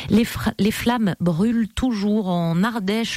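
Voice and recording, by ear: A woman speaks at a moderate pace with a slightly mellow tone and ordinary pitch variation, the sound dry and close with no echo.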